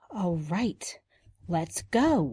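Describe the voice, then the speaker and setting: A woman puts on a character voice with a fairly low pitch. Her tone is anxious. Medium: audio drama. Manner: anxious, urgent.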